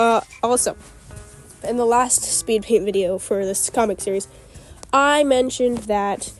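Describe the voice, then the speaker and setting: A woman's fairly even intonation with music in the background. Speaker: fan comic artist. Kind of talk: casual speed paint commentary. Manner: hesitant, lots of fillers.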